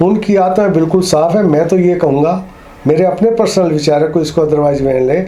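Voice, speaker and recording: There is audible room echo as a man speaks at a high pitch with ordinary pitch variation. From Haryana, Karnal district. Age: 60s. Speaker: interviewee, writer of opinions. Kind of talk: interview.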